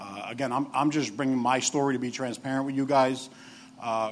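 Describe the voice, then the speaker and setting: With a New York accent, a man speaks at medium pitch with fairly even intonation. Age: 40s. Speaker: assistant director of addiction recovery program. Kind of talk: testimony. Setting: stage with audience. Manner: halting.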